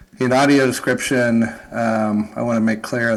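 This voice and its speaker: Audible room echo surrounds a man with an American accent speaking at a fairly low pitch. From United States. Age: 50s. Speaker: academic researcher. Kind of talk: panel discussion. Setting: conference stage with audience.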